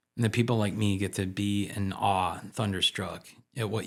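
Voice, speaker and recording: Over a very clean recording with a silent background, a man talks at a moderate pace in a monotone, flat delivery. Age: old. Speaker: teacher and podcast host. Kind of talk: podcast monologue.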